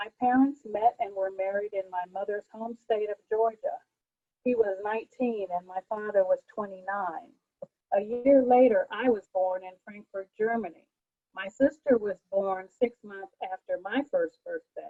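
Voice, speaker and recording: In an ordinary speaking voice, a woman with an American accent speaks at a fairly slow pace, her pitch fairly high with ordinary variation and her loudness swinging widely. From US military family, grew up on bases. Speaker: poet. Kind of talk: poetry reading. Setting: virtual open mic.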